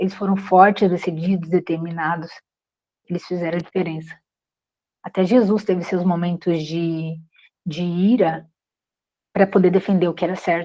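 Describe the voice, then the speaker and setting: With long, frequent pauses, a woman speaks at a moderate pace in a dark, mellow tone and monotone, flat intonation. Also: fairly low pitch for a woman. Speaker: course instructor. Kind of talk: online class.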